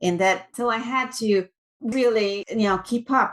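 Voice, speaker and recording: Speaking with a Brazilian Portuguese accent, a woman uses ordinary pitch variation. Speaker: tech executive. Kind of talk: interview.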